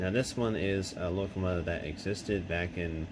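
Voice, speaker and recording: This man's pitch is very deep and low. His intonation stays fairly even. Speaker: model train hobbyist. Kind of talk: casual unboxing talk to camera.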